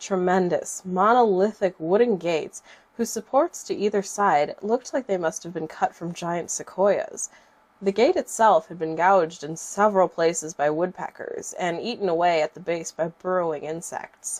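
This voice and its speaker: A woman's voice at medium pitch, with ordinary pitch variation, a moderate pace and a dry, close sound with no echo. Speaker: creepypasta narrator. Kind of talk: horror story narration.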